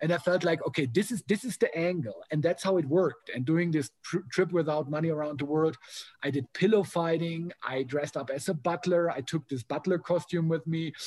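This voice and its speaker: With a German accent, the speaker goes at a fairly quick pace with hardly any pauses, ordinary pitch variation and a dry, close sound with no echo. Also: man, high pitch for a man. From Germany. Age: 40s. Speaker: motivational speaker. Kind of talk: casual interview.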